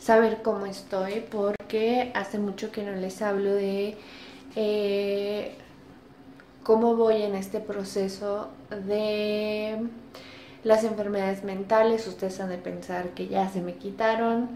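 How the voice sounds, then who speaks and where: Through light background noise and audible room echo, a woman talks at a very slow pace in a monotone, flat intonation. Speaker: vlogger. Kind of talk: casual vlog chat. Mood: reflective, candid, slightly subdued. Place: home room. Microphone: phone near.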